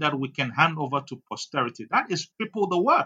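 A man with a fairly high pitch and a bright, sharp tone swings his pitch very widely. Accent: Ghanaian. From Ghana. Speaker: politician. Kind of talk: interview. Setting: studio.

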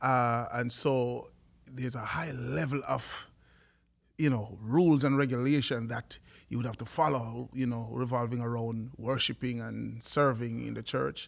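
A man with a Jamaican accent speaks at a fairly slow pace and medium pitch. His intonation is fairly even, and the recording is very clean with a silent background. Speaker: worship leader and music producer. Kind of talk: podcast interview.

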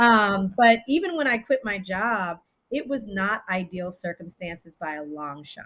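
A woman speaks at a fairly slow pace in a bright, sharp tone, with big swings in loudness. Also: medium pitch for a woman. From raised in the US and Japan, Belizean heritage. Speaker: leadership development consultant and author. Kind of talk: interview. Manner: animated.

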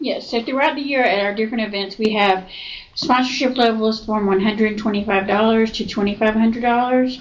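A woman with a Southern US accent, fairly even intonation, and noticeable background noise. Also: fairly high pitch for a woman. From Georgia, US South (Newnan). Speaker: insurance agency owner. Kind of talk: casual interview. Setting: office.

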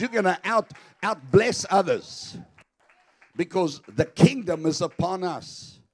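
Fairly slow speech over crowd noise in the background. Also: man. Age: 50s. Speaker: pastor. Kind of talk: sermon. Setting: church. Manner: animated.

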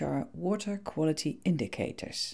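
On a very clean recording with a silent background, a woman speaks in a very deep, low pitch. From Netherlands. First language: Dutch. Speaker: podcast host on eco-friendly gardening. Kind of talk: scripted narration.

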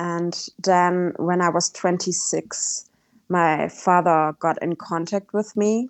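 Speaking very slowly with a German accent, a woman keeps a medium pitch and fairly even intonation. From Germany. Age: 30s. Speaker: travelling cyclist. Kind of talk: casual interview.

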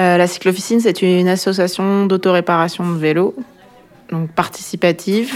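An unremarkable speaking voice belongs to a woman. She keeps a moderate pace with fairly even intonation. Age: 30s. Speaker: bike workshop worker. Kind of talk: casual interview.

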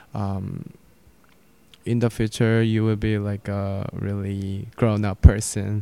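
In a Korean accent, a man with a dark, mellow tone and fairly low pitch speaks very slowly in a monotone, flat intonation, with big swings in loudness. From South Korea. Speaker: graduate student and military veteran. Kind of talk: interview. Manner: hesitant, with fillers.

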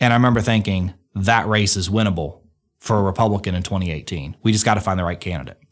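The speaker talks at a very fast pace with an Alabama accent. The recording is very clean, with a silent background. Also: man, fairly low pitch for a man, ordinary pitch variation. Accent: Southern US (Alabama). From Alabama, Muscle Shoals. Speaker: state auditor, politician. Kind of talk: interview, personal story.

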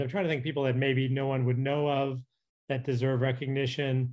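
A man at a medium pitch and a very fast pace. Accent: Canadian. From Calgary, Canada. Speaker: TV comedy writer and producer. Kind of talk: interview.

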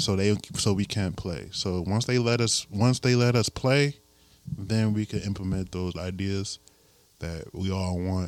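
A man talks at a fairly slow pace with fairly low pitch and ordinary pitch variation. Music plays in the background. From US Midwest, Elkhart, Indiana. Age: 20s. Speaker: musician and artist. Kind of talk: casual chat. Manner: halting.

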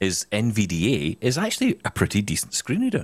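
With a Scottish accent, a man talks at a fairly quick pace, his fairly low pitch moving in very wide swings. The recording is very clean and the background silent. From Scotland. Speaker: podcast host, former radio presenter. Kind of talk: casual chat.

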